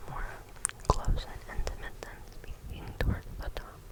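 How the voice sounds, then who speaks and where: Noticeable background noise sits behind a whispered voice. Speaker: ASMR creator. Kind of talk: ASMR microphone test, close-up whispering. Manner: whispered, soft-spoken.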